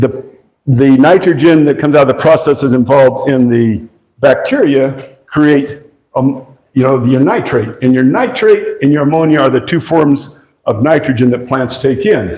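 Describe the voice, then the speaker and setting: A plain, everyday voice at a moderate pace, with very even loudness and ordinary pitch variation. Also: man, fairly high pitch for a man. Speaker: agroforestry presenter. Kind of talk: lecture.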